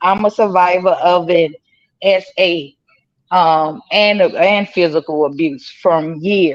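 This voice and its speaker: This woman speaks with a medium pitch. Her tone is animated. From Louisiana. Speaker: panel participant, abuse survivor. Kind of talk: live stream panel discussion.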